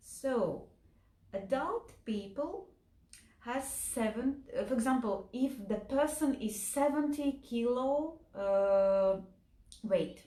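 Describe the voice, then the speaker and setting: A woman speaks very slowly in a high voice with a Latvian accent. Her intonation is lively, and the room echo is audible. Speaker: health and nutrition educator. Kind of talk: lecture. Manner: slow, simple wording; halting, with fillers.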